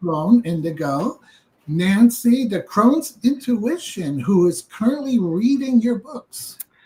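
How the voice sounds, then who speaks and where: Very slow and somewhat breathy, a woman with a fairly high pitch speaks with very wide pitch swings and big swings in loudness. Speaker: tarot channel host. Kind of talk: livestream interview. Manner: animated.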